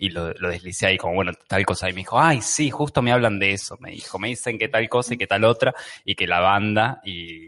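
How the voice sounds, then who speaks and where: A man's plain, everyday voice, fairly low in pitch, at a fairly quick pace with ordinary pitch variation and hardly any pauses. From Argentina. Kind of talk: casual chat.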